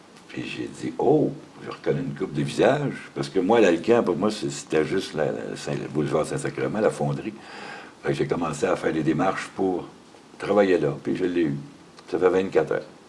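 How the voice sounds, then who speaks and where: A man's very deep, low voice at a moderate pace, with very wide pitch swings and noticeable background noise. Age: 60s. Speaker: factory worker. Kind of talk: interview.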